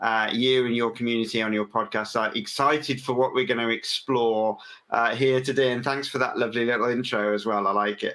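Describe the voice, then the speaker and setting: Using an English accent, a man talks at a fairly quick pace and medium pitch in a bright, sharp tone with fairly even intonation. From England. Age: 40s. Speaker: business owner, podcast guest. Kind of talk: interview. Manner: hesitant, many fillers.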